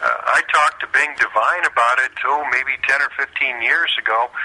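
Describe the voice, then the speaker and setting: A man talks at a moderate pace with an American accent, noticeable background noise behind him. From US Midwest, St. Louis. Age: 60s. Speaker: retired baseball pitcher. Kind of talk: interview.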